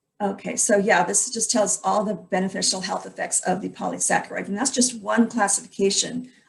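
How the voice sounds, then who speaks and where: A woman's medium-pitched voice with vocal fry, fairly even intonation, a fairly quick pace and hardly any pauses. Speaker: health educator presenting supplement ingredients. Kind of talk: online presentation. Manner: fast.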